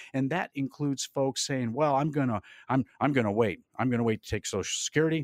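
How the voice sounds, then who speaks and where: In a dry, close sound with no echo, a man with a plain, everyday voice talks at a fairly quick pace, with medium pitch and ordinary pitch variation. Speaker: retirement planner. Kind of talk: radio show advice. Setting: studio.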